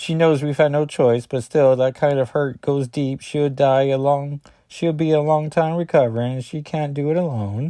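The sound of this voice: A shaky put-on character voice moves at a moderate pace with fairly even intonation and hardly any pauses. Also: man, fairly high pitch for a man.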